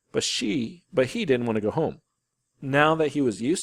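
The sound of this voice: Quiet background behind an unforced reading voice, pitch varying in an ordinary way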